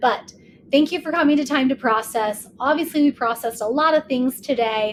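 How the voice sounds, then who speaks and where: Her pitch is high for a woman, and she talks at a fairly quick pace with ordinary pitch variation. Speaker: podcast host. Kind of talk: solo podcast chat. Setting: home recording, lying in bed. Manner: animated.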